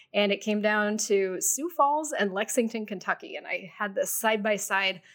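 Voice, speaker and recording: A woman with an ordinary speaking voice and an American accent, fairly high pitch, lively intonation and a moderate pace, on a very clean recording with a silent background. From US Midwest, Cleveland suburbs, Ohio. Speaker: business journalist and media owner. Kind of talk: interview.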